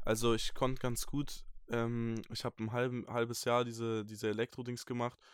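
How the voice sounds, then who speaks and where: A man's medium-pitched voice, flat and monotone, at a fairly slow pace, on a very clean recording with a silent background. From Germany, Franconia (Bamberg, Bavaria). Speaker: music producer and rapper. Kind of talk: casual interview.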